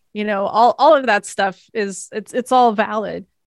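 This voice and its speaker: A plain, everyday voice from a woman, fairly high in pitch, with ordinary pitch variation at a moderate pace, on a very clean recording with a silent background. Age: 40s. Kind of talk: interview.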